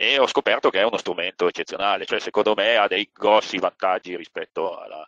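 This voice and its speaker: Dry and close with no echo, the sound carries a man talking at a fairly quick pace. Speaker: surveyor, seminar co-host. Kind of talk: online seminar discussion. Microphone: connection dropped, not heard at first.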